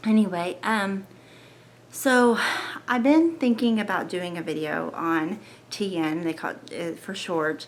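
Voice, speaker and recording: A soft-spoken woman talks fairly slowly at a medium pitch with lively intonation and long, frequent pauses. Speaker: lifestyle vlogger sharing health story. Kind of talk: personal testimony vlog. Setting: at home at night, family asleep. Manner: soft-spoken, quiet; hesitant, many fillers.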